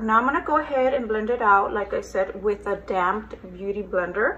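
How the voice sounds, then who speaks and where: A woman speaks in a normal speaking voice, medium in pitch with ordinary pitch variation. Her pace is moderate. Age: 40s. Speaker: beauty vlogger. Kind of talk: makeup tutorial. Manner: casual chatty.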